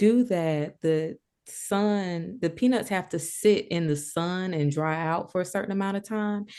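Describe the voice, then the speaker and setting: Against a quiet background, a woman in a Southern US accent speaks in a fairly low pitch with a dark, mellow tone and ordinary pitch variation. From rural Georgia, US. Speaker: collage artist and writer. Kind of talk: interview answer. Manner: casual, conversational.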